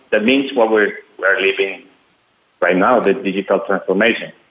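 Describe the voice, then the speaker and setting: Speaking with a Spanish accent, a man keeps a moderate pace at a fairly low pitch. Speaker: company CEO. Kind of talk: casual chat. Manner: halting.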